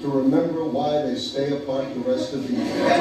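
Strong room echo and noticeable background noise fill the recording. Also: man. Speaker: comedian. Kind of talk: stand-up comedy routine. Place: stage.

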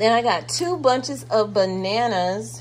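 A fairly high-pitched woman at a slow pace, with ordinary pitch variation

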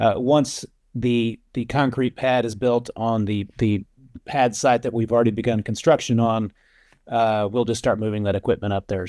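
With a dark, mellow tone and fairly even intonation, a man speaks at a moderate pace in a dry sound with no echo over a quiet background. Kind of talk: interview answer. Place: office. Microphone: video call.

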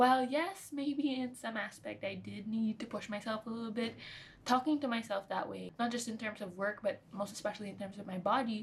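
Over light background noise, a somewhat breathy woman speaks at a fairly quick pace with ordinary pitch variation and big swings in loudness. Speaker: nutrition vlogger. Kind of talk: casual vlog chat. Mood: reflective, candid, some laughs. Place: home room.

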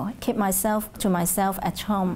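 A woman with a Hong Kong accent at a moderate pace. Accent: Hong Kong Cantonese-accented English. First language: Cantonese. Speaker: Cantonese language teacher. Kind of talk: oral history interview answer. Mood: calm, reflective. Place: classroom. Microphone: lapel.

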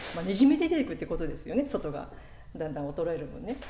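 Amid light background noise and audible room echo, a woman's voice moves in very wide pitch swings. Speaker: pastor. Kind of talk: sermon. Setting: church. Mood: warm, reflective, light humor.

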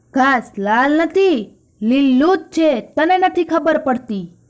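A woman uses a put-on character voice at a high pitch. She talks at a very slow pace. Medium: read story.

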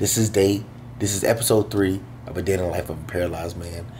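A man at a very fast pace, very deep and low in pitch with ordinary pitch variation, amid noticeable background noise. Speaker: vlogger. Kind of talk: casual vlog chat. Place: home room. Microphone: phone near.

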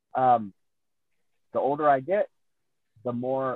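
A man at medium pitch, an ordinary speaking voice with ordinary pitch variation, dry sound with no echo and a quiet background. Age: 50s. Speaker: pro wrestler. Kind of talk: casual interview. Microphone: video call.

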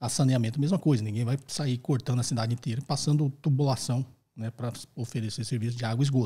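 A man's somewhat breathy voice at a very fast pace, with fairly even intonation. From Brazil. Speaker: finance professor and podcast host. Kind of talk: educational Q&A podcast. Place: studio. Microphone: studio mic.

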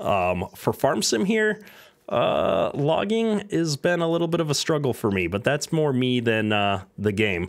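A man with a fairly high voice talks at a fairly slow pace, his pitch swinging very widely. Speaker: gaming streamer. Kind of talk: live gameplay commentary. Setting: home streaming setup with camera. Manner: casual, many filler words.

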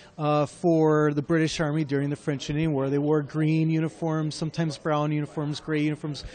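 A man with a fairly high pitch talks at a fairly quick pace against noticeable background noise. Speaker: historical reenactor. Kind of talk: exhibit presentation. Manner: enthusiastic.

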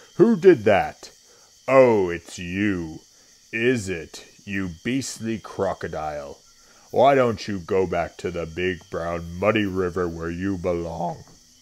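A man puts on a character voice with a very deep, low pitch at a fairly slow pace. The recording is very clean, with a silent background. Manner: indignant.

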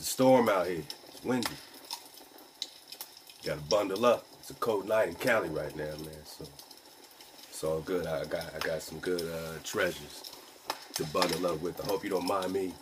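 Over noticeable background noise, a man with a very deep, low voice talks at a moderate pace with ordinary pitch variation and long, frequent pauses. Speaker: online radio host. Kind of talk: casual vlog chat. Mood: relaxed, cozy, encouraging. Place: home room. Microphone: phone near.

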